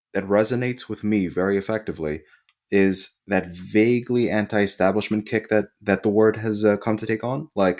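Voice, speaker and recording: In a very clean recording with a silent background, the man talks at a fairly low pitch. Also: moderate pace. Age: 30s. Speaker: osteopathic physician. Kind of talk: casual chat. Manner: animated.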